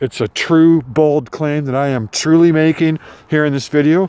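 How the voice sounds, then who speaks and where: Sounding dry with no echo, a man speaks at a fairly slow pace. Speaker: vlogger. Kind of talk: casual vlog chat. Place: open country. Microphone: phone near.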